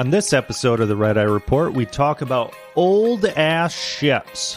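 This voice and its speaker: Over background music, a man with a fairly high pitch talks fairly slowly, his pitch swinging very widely while his loudness stays very even. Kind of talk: casual comedic podcast hosting. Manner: irreverent, joking.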